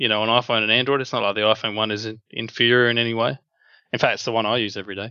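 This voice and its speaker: At a very fast pace, a man with an Australian accent speaks at medium pitch in a monotone, flat intonation. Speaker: app developer. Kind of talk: interview.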